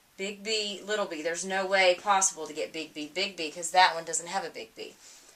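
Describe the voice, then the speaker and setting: A woman at medium pitch talks at a fairly quick pace with fairly even intonation. Her loudness swings widely, over noticeable background noise. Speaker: teacher. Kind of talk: recorded lecture.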